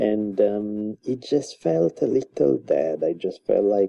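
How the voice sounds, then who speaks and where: A man with an Italian accent. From Italy, Milan. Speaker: author and university teacher. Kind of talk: casual interview.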